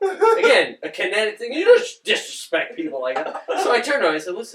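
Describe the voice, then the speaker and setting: A man with a New York accent speaks with big swings in loudness. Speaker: podcast guest. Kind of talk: casual chat.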